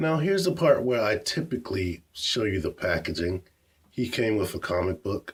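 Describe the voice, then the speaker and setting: On a very clean recording with a silent background, a somewhat breathy man talks with lively intonation. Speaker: toy reviewer. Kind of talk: product review.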